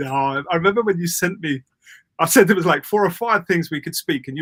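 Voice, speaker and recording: With a British accent, a man talks at a fairly quick pace in a bright, sharp tone with lively intonation, the sound dry and close with no echo. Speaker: public speaking coach. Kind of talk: interview. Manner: fast; loud.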